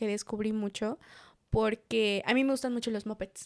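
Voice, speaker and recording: This is a woman speaking. She talks with a Mexican accent. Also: dry, close sound with no echo. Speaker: podcast co-host. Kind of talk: casual chat.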